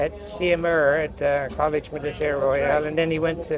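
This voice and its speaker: There is noticeable background noise as a man talks in a Newfoundland accent. His pitch is fairly high and his pace moderate. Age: 80s+. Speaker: construction industry veteran. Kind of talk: interview.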